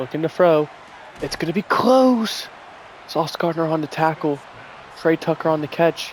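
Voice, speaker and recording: Soft-spoken and fairly high-pitched, a man talks at a moderate pace over noticeable background noise. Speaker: gaming streamer. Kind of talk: live game commentary. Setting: at home with guests over.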